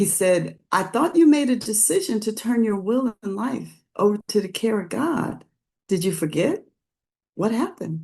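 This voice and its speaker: Somewhat breathy, a woman speaks at a moderate pace with a fairly high pitch and a dark, mellow tone. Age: 70s. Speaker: recovery speaker. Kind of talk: testimony. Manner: animated; halting.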